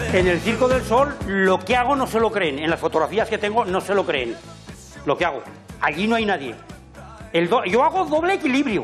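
A man at a moderate pace with very wide pitch swings and long, frequent pauses, clear music playing in the background. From Aragon, Spain. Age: 80s+. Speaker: farmer and balancing performer. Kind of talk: casual talk in interview. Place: garage. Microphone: lapel.

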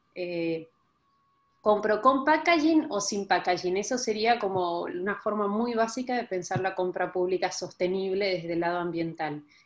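With an Argentine accent, a woman speaks at a moderate pace with lively intonation. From Argentina. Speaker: sustainable development researcher; panelist. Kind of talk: online panel presentation. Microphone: video call.

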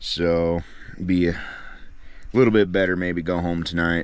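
At a moderate pace, a man with a very deep, low pitch speaks in a dry sound with no echo. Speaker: fishing vlogger. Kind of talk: casual vlog chat. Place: tent. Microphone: phone near.

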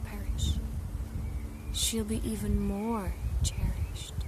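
The speech comes at a very slow pace with noticeable background noise. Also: woman. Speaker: poetry reciter. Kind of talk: poetry reading. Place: forest. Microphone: phone near.

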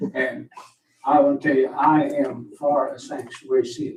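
A man talks with an Appalachian accent. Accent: Appalachian Southern US. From Virginia. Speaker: public commenter. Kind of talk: public comment at meeting.

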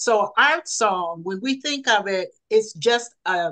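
A speaker with an American accent talks at a slow pace. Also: woman, fairly bright tone.

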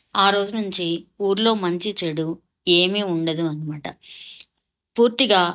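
A woman with an unremarkable speaking voice and ordinary pitch variation. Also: medium pitch for a woman. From Andhra Pradesh, Kollipara near Guntur. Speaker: vlogger. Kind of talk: travel vlog narration.

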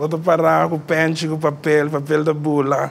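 A man's voice over light background noise, moving at a moderate pace. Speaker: musician; interview guest. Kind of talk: interview. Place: studio.

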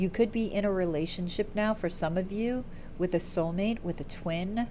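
The voice has a dark, mellow tone and ordinary pitch variation at a moderate pace. Light background noise can be heard. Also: woman. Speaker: tarot reader. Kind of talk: tarot reading commentary. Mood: warm, upbeat. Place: home room. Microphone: earbuds.

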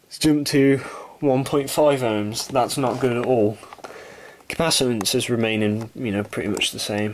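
Someone talks at a moderate pace with noticeable background noise. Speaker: electronics repair hobbyist. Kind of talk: tutorial.

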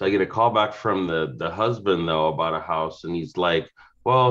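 Against a quiet background, a man with a very deep, low pitch speaks at a moderate pace. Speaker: real estate agent. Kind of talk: group discussion. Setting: video call. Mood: amused, lively storytelling. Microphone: video call.

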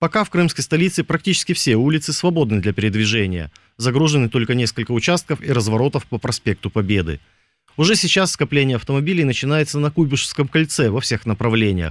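Very fast and very even in loudness, a man speaks with very wide pitch swings. The sound is dry with no echo, over a quiet background. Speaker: radio host. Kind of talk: casual chat. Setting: studio. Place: studio.

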